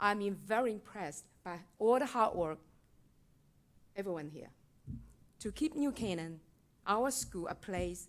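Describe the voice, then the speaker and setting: A woman's medium-pitched voice in a Chinese accent, with vocal fry, lively intonation and a moderate pace. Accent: Mandarin Chinese. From mainland China. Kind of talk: public comment at board meeting.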